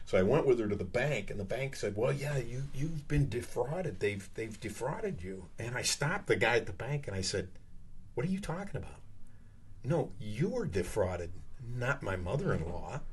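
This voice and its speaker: Amid audible room echo, a somewhat breathy man speaks at a moderate pace with very wide pitch swings. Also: medium pitch for a man. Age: 60s. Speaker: comedian. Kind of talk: casual chat. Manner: animated.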